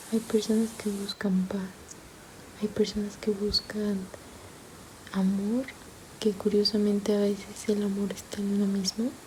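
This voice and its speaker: Over noticeable background noise, a woman whispers at a fairly slow pace with long, frequent pauses. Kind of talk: ASMR channel greeting to viewer. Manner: whispered.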